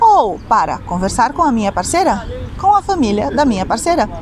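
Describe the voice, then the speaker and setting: A woman with a Brazilian accent talks at a moderate pace, her pitch swinging very widely, over noticeable background noise. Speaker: Portuguese teacher. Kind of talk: language lesson to camera.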